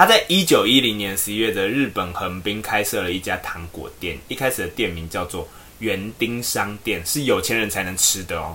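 With a bright, sharp tone, a man talks with hardly any pauses, ordinary pitch variation and big swings in loudness. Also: fairly low pitch for a man, moderate pace. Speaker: podcast co-host. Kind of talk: casual chat.

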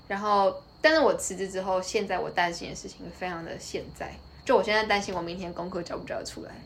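A woman with a Taiwanese accent talks at a very fast pace and a medium pitch, with ordinary pitch variation and big swings in loudness. Noticeable background noise and audible room echo fill the recording. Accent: Taiwanese Mandarin. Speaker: university student, former corporate employee. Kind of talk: casual interview chat.

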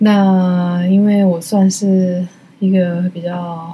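The woman's voice sits fairly low, and her intonation stays fairly even. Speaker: solo art podcast host. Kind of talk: casual chat. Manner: halting.

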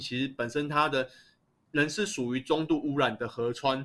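This man talks at a moderate pace in a fairly high pitch with a bright, sharp tone. The recording is very clean, with a silent background. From Taiwan, Taipei (Shezi Island). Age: 30s. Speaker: local resident researching urban planning. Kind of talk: podcast interview.

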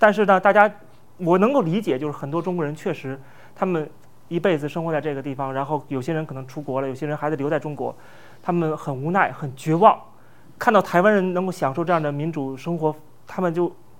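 A man talks very fast in a fairly high pitch, with ordinary pitch variation. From mainland China. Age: young. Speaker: political commentator and online influencer. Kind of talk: conversational interview. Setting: studio.

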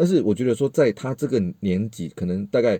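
A man with a Malaysian accent talks at a fairly quick pace in a fairly low pitch. His tone is dark and mellow, with very wide pitch swings. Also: dry, close sound with no echo, quiet background. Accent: Malaysian Mandarin, noticeable. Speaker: multimedia worker and parent. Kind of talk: casual chat.

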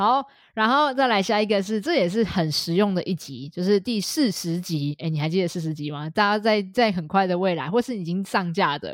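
Hardly pausing, a woman speaks with lively intonation at a medium pitch in a very clean recording with a silent background. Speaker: dog behavior trainer and podcast co-host. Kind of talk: casual chat. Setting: studio.

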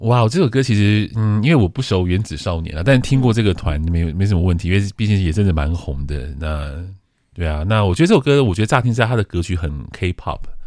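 A man with a fairly low pitch talks at a very fast pace with lively intonation. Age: 40s. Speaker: radio host. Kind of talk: casual chat. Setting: studio.

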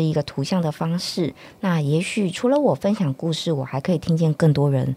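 A woman's fairly low-pitched voice at a moderate pace, with ordinary pitch variation. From northern Taiwan. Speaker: children's book author and reading promoter. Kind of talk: interview.

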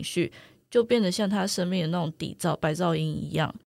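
A woman speaks at a moderate pace with a fairly low pitch and ordinary pitch variation, in an ordinary speaking voice. The recording is very clean with a silent background. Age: 20s. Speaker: writer. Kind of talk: interview conversation.

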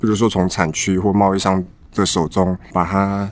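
A fairly low-pitched man's voice at a moderate pace. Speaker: coffee bean supplier. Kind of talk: casual chat. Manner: halting.

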